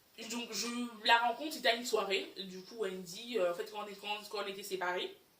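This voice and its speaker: A woman talks at a very fast pace, with audible room echo around her voice. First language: English (speaking French). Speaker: YouTuber. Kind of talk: personal storytime vlog. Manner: halting, many fillers.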